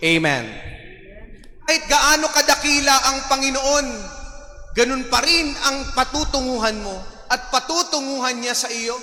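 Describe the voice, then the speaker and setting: Against noticeable background noise, a man in a raised, projected voice and warm tone speaks at a fairly slow pace with long, frequent pauses, an extremely high pitch and ordinary pitch variation. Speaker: parish priest. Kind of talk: sermon. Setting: church with congregation. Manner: humorous, warm, interactive.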